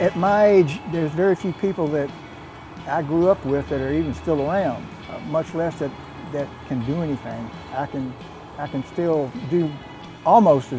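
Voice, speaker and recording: A man with an American accent talks at a fairly high pitch with ordinary pitch variation. He leaves long, frequent pauses while music plays behind him. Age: 80s+. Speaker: powerlifter. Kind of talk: interview.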